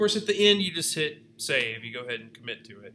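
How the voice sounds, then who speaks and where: A man talks at a moderate pace in a bright, sharp tone. Light background noise can be heard. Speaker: video editing class instructor; instructor. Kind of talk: workshop tutorial. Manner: loud; casual, filler-heavy. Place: home room. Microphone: webcam.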